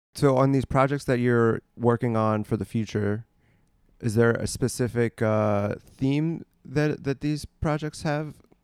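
A man's plain, everyday voice at medium pitch, fairly slow, with ordinary pitch variation and a dry, close sound with no echo. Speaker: podcast host and comedy producer. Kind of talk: casual interview chat.

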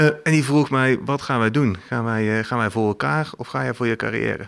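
This man talks at a moderate pace. His pitch sits in the medium range, with ordinary variation. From Eindhoven, North Brabant, Netherlands. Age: 40s. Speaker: company CEO. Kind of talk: interview. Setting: office. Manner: hesitant, many fillers and repetitions.

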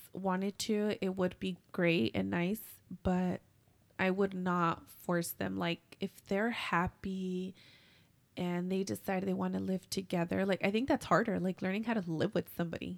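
The woman has a normal speaking voice at a medium pitch, with fairly even intonation. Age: 30s. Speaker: podcast co-host. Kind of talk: casual chat.

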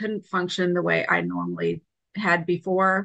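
A woman speaks at a moderate pace with a fairly low pitch, a bright, sharp tone and vocal fry. The sound is dry and close with no echo, over a quiet background. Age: 50s. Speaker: stroke survivor, author and speaker. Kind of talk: casual interview.

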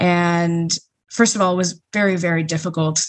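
Using a plain, everyday voice, a woman with an American accent speaks at a fairly slow pace with a fairly low pitch and ordinary pitch variation. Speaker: recent graduate and activist. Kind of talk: panel discussion.

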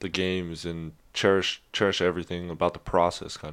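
A man's very deep, low voice with an American accent, monotone and flat, at a moderate pace against a quiet background. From California, Sacramento. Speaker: college football player. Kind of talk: casual chat.

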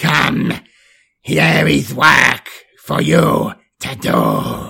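A booming, put-on character voice from a man, fairly high in pitch, with very wide pitch swings, a very slow pace, a bright, sharp tone, a husky, rough edge and vocal fry

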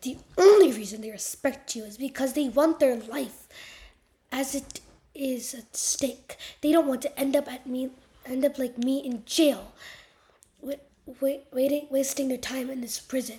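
A woman in a put-on character voice speaks at a fairly slow pace in a high, shaky voice. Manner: angry.

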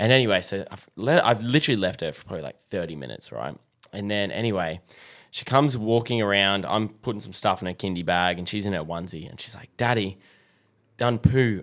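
This man has an Australian accent and a fairly low pitch, talking at a very fast pace. His loudness swings widely, and the recording is very clean with a silent background. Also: ordinary pitch variation. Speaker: fatherhood podcaster. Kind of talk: casual chat. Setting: studio.

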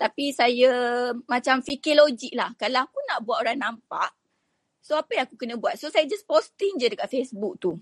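A woman with a high pitch and lively intonation talks at a moderate pace, the sound dry and close with no echo. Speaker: entrepreneur. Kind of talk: interview testimony.

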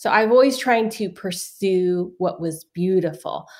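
A woman with an American accent has an unremarkable speaking voice, talking at a fairly slow pace with ordinary pitch variation. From US West Coast, San Francisco. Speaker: author. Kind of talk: interview. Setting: video call.

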